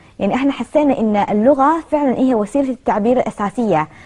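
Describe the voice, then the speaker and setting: A woman's fairly high pitch pairs with a dark, mellow tone as she talks fairly quickly. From Kuwait, Chinese parents. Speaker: interviewee. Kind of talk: interview.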